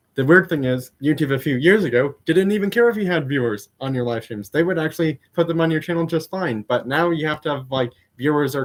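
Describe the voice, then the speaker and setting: A man talks with an American accent. His pace is moderate and his pitch varies in an ordinary way. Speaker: diecast car YouTuber. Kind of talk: casual live stream chat. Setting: live stream. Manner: hesitant, many fillers.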